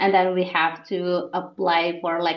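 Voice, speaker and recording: A woman with an Indonesian accent. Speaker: researcher, international student. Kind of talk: podcast interview.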